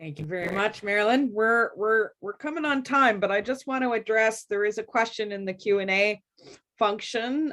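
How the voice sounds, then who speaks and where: Speaking at a moderate pace, a woman has an ordinary speaking voice, a medium pitch and ordinary pitch variation. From Atlantic Canada. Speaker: panel moderator. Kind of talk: panel moderation.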